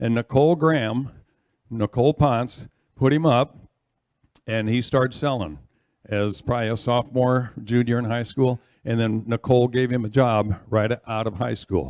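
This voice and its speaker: In a plain, everyday voice, a man talks at a moderate pace with medium pitch and ordinary pitch variation, the sound dry and close with no echo. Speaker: father of the champion auctioneer. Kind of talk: proud speech at an awards ceremony.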